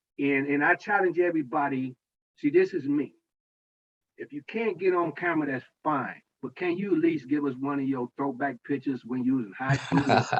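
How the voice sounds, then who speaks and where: A man's ordinary speaking voice, fairly high in pitch, with ordinary pitch variation at a moderate pace. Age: 60s. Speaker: parent association president. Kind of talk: online meeting remarks. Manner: casual, conversational.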